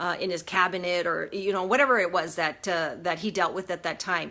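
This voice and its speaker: The recording is very clean and the background silent. A woman talks in a bright, sharp tone. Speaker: emotional wellness coach. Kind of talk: live video talk. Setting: Facebook live stream. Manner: fast; halting, many fillers.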